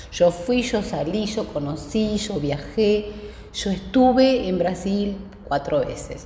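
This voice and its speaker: Very slowly, a woman speaks with lively intonation. Audible room echo and noticeable background noise surround her voice. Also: medium pitch for a woman. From Patagonia, Argentina (Neuquén). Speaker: interview guest. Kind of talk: casual interview.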